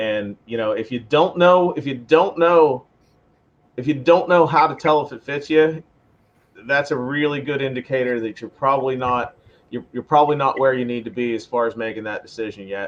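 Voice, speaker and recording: An ordinary speaking voice at a moderate pace, with ordinary pitch variation. Its loudness swings a lot. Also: man, medium pitch for a man. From western Pennsylvania. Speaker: firearms instructor. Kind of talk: podcast interview.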